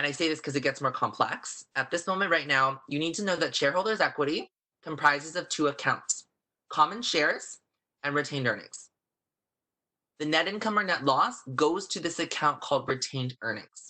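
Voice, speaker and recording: A man speaks loudly at a fairly quick pace with a bright, sharp tone. His pitch is fairly high, with ordinary variation. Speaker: accounting instructor. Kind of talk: online lecture. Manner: fast.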